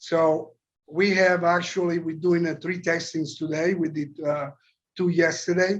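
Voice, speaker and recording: A man speaks in a strong Italian accent. His pitch is high. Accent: heavy Italian. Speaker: company chairman. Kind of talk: interview.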